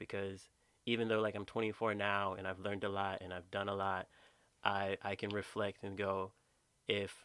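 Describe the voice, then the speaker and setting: On a very clean recording with a silent background, a man's fairly low, bright, sharp voice moves at a moderate pace with monotone, flat intonation. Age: 20s. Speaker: podcast co-host. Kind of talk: casual chat.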